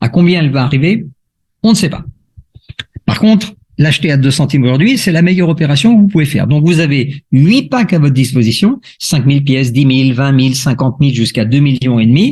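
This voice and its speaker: This man's voice sits at a fairly high pitch, somewhat breathy, with lively intonation and big swings in loudness. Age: 60s. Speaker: crypto investment promoter. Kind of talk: sales pitch. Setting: video call. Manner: explanatory, with frequent hesitations.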